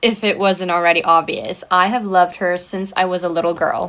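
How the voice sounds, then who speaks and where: Here a woman speaks with an American accent at a moderate pace. Her medium pitch follows a fairly even intonation. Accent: American accent picked up in Canada. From South Africa. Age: 20s. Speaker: social media influencer. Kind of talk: get-ready-with-me vlog talk. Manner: casual, chatty.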